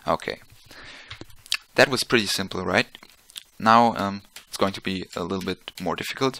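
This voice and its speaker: With a non-native accent, a man with a fairly low pitch and a bright, sharp tone talks at a moderate pace with ordinary pitch variation and long, frequent pauses, recorded dry and close with no echo. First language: not English. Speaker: physics tutor. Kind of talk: tutorial. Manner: halting, many fillers; casual.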